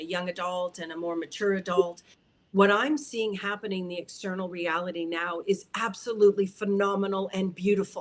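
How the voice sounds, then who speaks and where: This woman has an unremarkable speaking voice at medium pitch. Her intonation is fairly even and her pace moderate. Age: 50s. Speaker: spiritual teacher. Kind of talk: livestream teaching talk. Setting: livestream.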